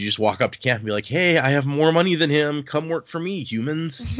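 A man rattles along at a very fast pace with lively intonation while noticeable background noise carries on around him. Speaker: podcast host. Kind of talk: casual chat.

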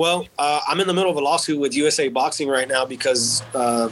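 A man's fairly high-pitched voice is heard over noticeable background noise. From Texas. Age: 30s. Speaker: war veteran. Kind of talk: casual chat. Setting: at home.

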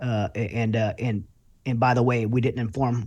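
A somewhat breathy voice with an American accent in a very clean recording with a silent background. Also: man. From Louisiana. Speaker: military veteran and author. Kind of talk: interview.

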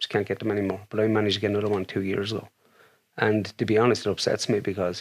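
A man with an Irish accent, fairly low-pitched, talking very fast in a flat monotone, on a very clean recording against a silent background. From Ireland, County Wicklow. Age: 40s. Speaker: demonologist. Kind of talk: casual interview.

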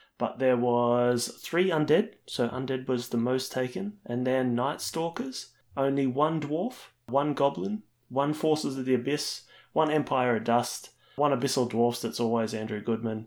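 Talking at a fairly slow pace, this man has an Australian accent. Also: medium pitch for a man, ordinary pitch variation. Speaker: podcast co-host. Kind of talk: casual chat.

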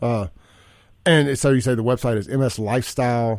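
In a very clean recording with a silent background, a speaker with a Southern US accent talks with fairly even intonation. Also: man. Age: 40s. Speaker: radio host. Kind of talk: talk radio show. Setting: radio studio.

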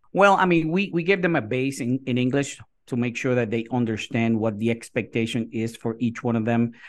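Over a quiet background, a man with a Puerto Rican accent and medium pitch talks at a fairly quick pace with hardly any pauses and ordinary pitch variation. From Puerto Rico. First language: Spanish. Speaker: kindergarten teacher. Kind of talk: interview.

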